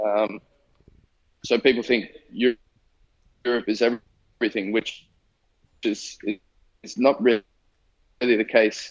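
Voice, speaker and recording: In an Australian accent, the speaker talks at a very slow pace in a monotone, flat intonation, with long, frequent pauses. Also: man, medium pitch for a man. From Australia, Sydney. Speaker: professional footballer. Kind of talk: interview. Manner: halting, repeats words.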